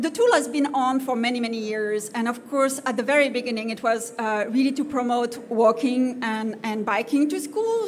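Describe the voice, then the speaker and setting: With a French accent, a woman with high pitch and ordinary pitch variation speaks at a moderate pace, over noticeable background noise and audible room echo. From France. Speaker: conference speaker on community safety. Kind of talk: conference presentation. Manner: halting, many fillers.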